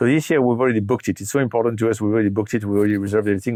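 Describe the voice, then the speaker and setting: A man speaks with a dark, mellow tone at a fairly low pitch. His pitch variation is ordinary. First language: French. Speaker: startup CEO. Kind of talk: interview. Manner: hesitant, many fillers and repeats.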